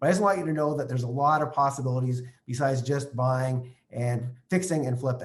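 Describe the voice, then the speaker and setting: A man's somewhat breathy voice is heard with audible room echo. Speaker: real estate investing trainer. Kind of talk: online training session. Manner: fast; animated.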